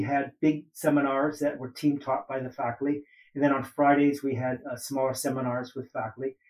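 A man speaks with an American accent and a fairly high pitch. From US West Coast, Oakland, California. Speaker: ethnic studies professor. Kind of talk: interview. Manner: halting, many fillers.

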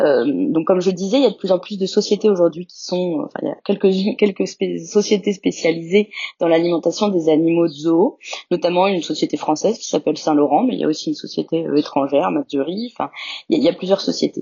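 A woman speaks at a fairly quick pace with lively intonation, a fairly low pitch and vocal fry. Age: 30s. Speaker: zoo veterinarian. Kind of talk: interview. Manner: halting, many hesitations.

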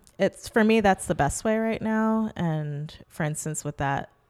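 A woman with an American accent, lively intonation and a moderate pace, on a very clean recording with a silent background. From New York City, Manhattan. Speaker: choreographer. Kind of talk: interview conversation.

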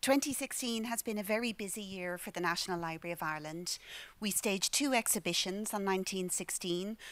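A woman at a moderate pace with ordinary pitch variation, on a very clean recording with a silent background. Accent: Irish. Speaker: library director. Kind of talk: formal welcome speech. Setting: stage with audience.

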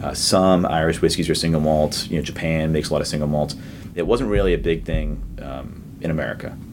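In a room with audible echo and noticeable background noise, a man with a very deep, low pitch speaks at a fairly quick pace with lively intonation. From Boston area, Massachusetts. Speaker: distillery founder. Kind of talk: interview.

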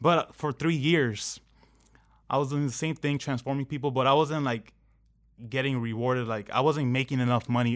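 In a plain, everyday voice with an American accent, the speaker talks at a moderate pace and fairly even intonation, on a very clean recording with a silent background. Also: man, medium pitch for a man. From Southern California, Anaheim. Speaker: fitness coach and online entrepreneur. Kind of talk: casual interview.

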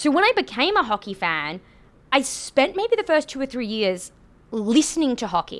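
On a very clean recording with a silent background, a woman with a strong Australian accent speaks in a high pitch with very wide pitch swings. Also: moderate pace. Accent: Australian, thick. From Australia, Queensland (Rockhampton). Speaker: podcast host, hockey. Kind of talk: casual chat, conversational podcast.

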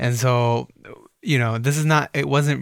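With an ordinary speaking voice and an American accent, a man talks at a moderate pace and medium pitch with fairly even intonation. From Egypt and Minnesota. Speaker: entrepreneur, dog brand founder. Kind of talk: casual interview. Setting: studio.

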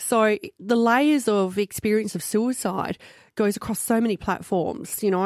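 In a very clean recording with a silent background and a dry, close sound with no echo, a woman with an Australian accent speaks at medium pitch with ordinary pitch variation. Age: 40s. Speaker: mental health advocate. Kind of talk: radio interview. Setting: studio.

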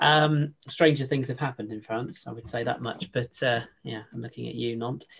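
In a normal speaking voice, a man at medium pitch talks at a moderate pace with fairly even intonation and big swings in loudness. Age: 30s. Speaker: football podcast host. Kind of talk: casual chat.

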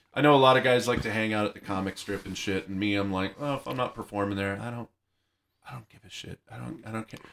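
This man speaks at a very fast pace with ordinary pitch variation and big swings in loudness. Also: fairly low pitch for a man. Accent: American. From Arizona, Yuma. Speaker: comedian and soldier. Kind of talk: casual chat.

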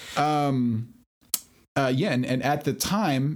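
A man speaks at a fairly slow pace in an unremarkable speaking voice. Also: very clean recording, silent background. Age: 40s. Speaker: podcast host. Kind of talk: casual chat.

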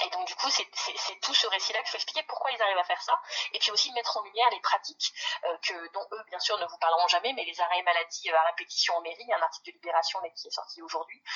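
Through noticeable background noise, a woman speaks at a very fast pace at a medium pitch with lively intonation. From northern France, Pas-de-Calais. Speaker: ecologist activist and municipal candidate. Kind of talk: phone interview. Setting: phone call.

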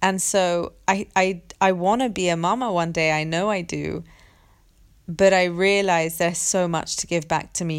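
Against a silent background in a very clean recording, a woman with an unremarkable speaking voice talks at a moderate pace, her fairly low pitch kept fairly even. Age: 20s. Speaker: podcast host, women's circle facilitator. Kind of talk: solo monologue. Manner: casual, laughs often.

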